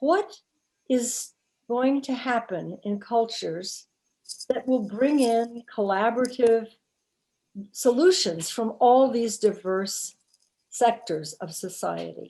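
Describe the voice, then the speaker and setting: Talking very slowly with long, frequent pauses, a woman uses a fairly high pitch, lively intonation and a dark, mellow tone. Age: 80s+. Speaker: audience member. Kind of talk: audience question.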